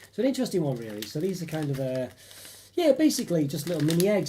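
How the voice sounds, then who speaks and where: A man talks at a very fast pace with a high pitch and very wide pitch swings. Noticeable background noise runs beneath him. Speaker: chocolate review youtuber. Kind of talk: casual live stream chat. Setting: live stream. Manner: hesitant, many fillers.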